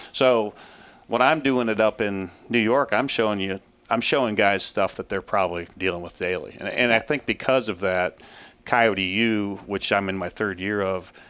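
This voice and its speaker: Pitch variation here is ordinary. The recording is very clean, with a silent background. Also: man, fairly low pitch for a man. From Ohio, US. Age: 50s. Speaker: trapper and trapping instructor. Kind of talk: interview. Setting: trappers convention. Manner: fast-talking.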